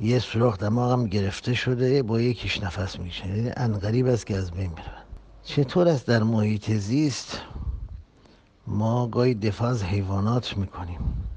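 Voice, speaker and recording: A man has a normal speaking voice with a fairly low pitch. He talks at a moderate pace with ordinary pitch variation. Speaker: religious preacher. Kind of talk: public address on social issues.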